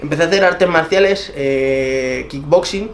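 There is light background noise. Through it comes a man's voice. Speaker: interviewee. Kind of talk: interview answer. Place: home room.

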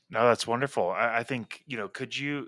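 A man's bright, sharp, medium-pitched voice at a moderate pace. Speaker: podcast host in emergency medicine. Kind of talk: interview. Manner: hesitant, repeats words.

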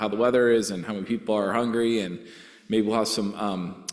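Over a quiet background, a man talks. His pitch varies in an ordinary way. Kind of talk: church announcements. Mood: cheerful, relaxed. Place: church. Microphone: podium.

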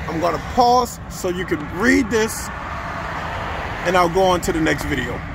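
Noticeable background noise accompanies a man with a high pitch and ordinary pitch variation. He speaks at a fairly slow pace, and the sound is dry with no echo. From New Orleans. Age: 50s. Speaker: history educator. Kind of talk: walking tour video lecture. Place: street. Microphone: phone near.

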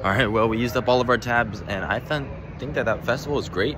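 The speech moves at a very fast pace with ordinary pitch variation. The sound is dry with no echo, though background noise is noticeable. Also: man. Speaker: theme park vlogger. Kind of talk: casual vlog chat. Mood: upbeat, enthusiastic. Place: street. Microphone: phone near.

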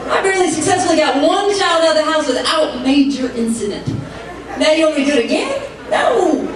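A woman with an extremely high pitch talks at a fairly quick pace. Crowd noise fills the background, and the room echo is strong. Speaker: stand-up comedian. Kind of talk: stand-up comedy routine. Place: stage.

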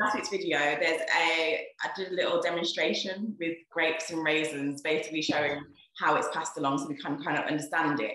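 Fairly low in pitch, a woman talks at a fairly quick pace with hardly any pauses against a quiet background, her voice carrying audible room echo. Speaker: doctor. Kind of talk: casual talk to camera and interviewing. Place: home room. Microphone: webcam.

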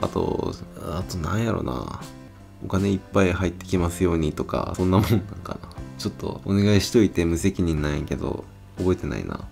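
Over clear background music, a man with a Kansai accent speaks fairly quickly in a very deep, low pitch with ordinary variation and a relaxed tone. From Kyoto, Kansai region. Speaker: smoking vlogger. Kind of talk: casual talk to camera. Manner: relaxed, chatty. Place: street.

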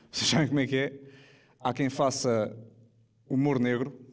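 A man with monotone, flat intonation over a quiet background. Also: moderate pace, very even loudness. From Portugal. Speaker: stand-up comedian. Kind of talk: stand-up comedy to a live audience. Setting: live theatre with audience. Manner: casual, jokey, conversational. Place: stage. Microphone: handheld.

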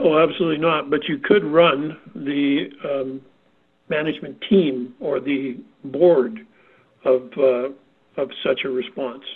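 With a Canadian accent, a man with a fairly high pitch and ordinary pitch variation speaks at a very slow pace, taking long, frequent pauses. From Canada. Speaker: safety consultant. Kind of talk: panel discussion.

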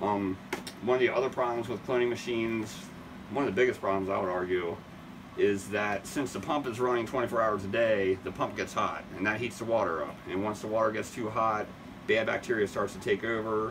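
Against noticeable background noise, a man with a fairly low pitch speaks at a fairly quick pace with fairly even intonation. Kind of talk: tutorial. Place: shop. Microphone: phone near.

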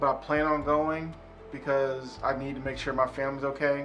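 A man's voice with faint music in the background. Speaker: motorcycle vlogger. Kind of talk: casual vlog appeal. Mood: earnest, urging viewers to donate.

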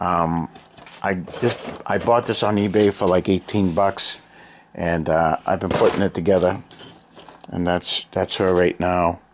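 With a very deep, low voice and a relaxed tone, a man speaks at a fairly slow pace with fairly even intonation and long, frequent pauses over light background noise. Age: 50s. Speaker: hobbyist video maker. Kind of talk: casual show-and-tell. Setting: home basement. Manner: relaxed, hesitant with fillers. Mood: relaxed, nostalgic. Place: home room. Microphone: phone near.

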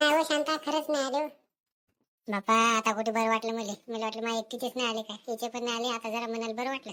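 Over a very clean recording with a silent background, a woman uses a fairly high, cartoonish character voice at a fairly quick pace with fairly even intonation. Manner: chatty, gossipy.

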